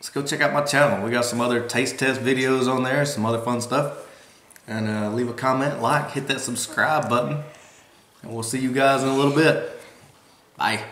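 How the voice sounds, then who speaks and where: At a moderate pace, a man talks with fairly even intonation amid light background noise and audible room echo. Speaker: family vlogger. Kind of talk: casual vlog outro. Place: home room.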